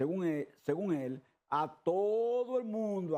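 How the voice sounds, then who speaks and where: A man's high-pitched voice with a dark, mellow tone and lively intonation, set against a quiet background. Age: 70s. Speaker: trade union leader. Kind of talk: TV interview. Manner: repetitive, emphatic.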